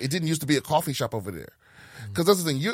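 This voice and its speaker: In a dry, close sound with no echo, a man with a fairly high pitch and vocal fry makes very wide pitch swings. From Prince George's County, Maryland. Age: 40s. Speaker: comedian. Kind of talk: casual chat. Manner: halting.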